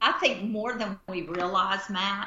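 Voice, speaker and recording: A woman with an American accent at medium pitch, fairly slow, with audible room echo. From US South, Central Florida. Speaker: missionary and former pastor. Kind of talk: casual chat.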